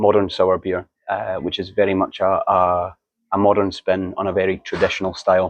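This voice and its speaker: Against a quiet background, a man with a Scottish accent speaks at a moderate pace and a fairly low pitch. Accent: Scottish, understandable. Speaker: marketing manager of a brewery. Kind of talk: podcast interview. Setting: beer fair stand.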